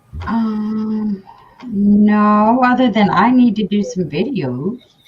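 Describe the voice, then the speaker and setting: The voice is somewhat breathy, in a Southern accent. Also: woman. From US South, Charleston, South Carolina. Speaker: crafter, small seller. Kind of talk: casual chat.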